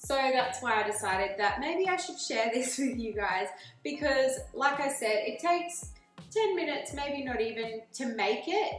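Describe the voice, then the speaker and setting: Faint music plays in the background as a woman with a high pitch talks at a moderate pace, with audible room echo. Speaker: presenter. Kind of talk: casual cooking tutorial intro. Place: kitchen. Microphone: camera far.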